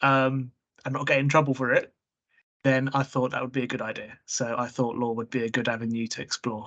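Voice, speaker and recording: In an English accent, a medium-pitched man talks at a moderate pace with monotone, flat intonation. The background is quiet. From England, born in Prague. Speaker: trainee solicitor. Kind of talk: interview.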